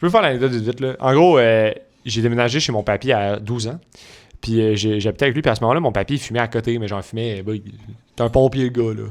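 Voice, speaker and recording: Speaking at a very fast pace, a man sounds animated, with ordinary pitch variation. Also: medium pitch for a man. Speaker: podcast co-host. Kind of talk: casual chat.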